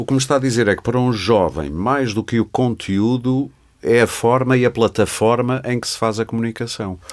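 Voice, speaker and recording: A man speaks in a normal speaking voice at a moderate pace, medium in pitch with ordinary pitch variation. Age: 60s. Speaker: podcast host. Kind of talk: podcast interview.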